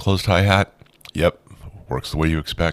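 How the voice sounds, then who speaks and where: Using vocal fry, a man speaks at a fairly quick pace in a dry, close sound with no echo. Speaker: synth tutorial youtuber. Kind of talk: tutorial. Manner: casual, conversational.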